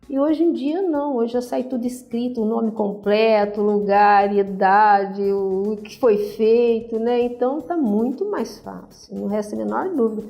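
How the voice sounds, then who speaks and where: A woman with a fairly high pitch speaks at a fairly slow pace, with hardly any pauses and ordinary pitch variation. Music plays in the background, and audible room echo is present. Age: 60s. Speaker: retired radiology technician. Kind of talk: interview.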